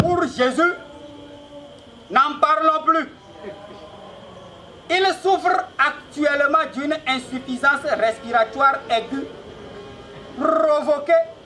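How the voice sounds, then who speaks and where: A man's extremely high-pitched, raised and projected voice with a theatrical tone, at a very slow pace with long, frequent pauses, over noticeable background noise. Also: ordinary pitch variation. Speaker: stand-up comedian. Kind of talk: stand-up comedy show. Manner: loud, theatrical, joking with the audience.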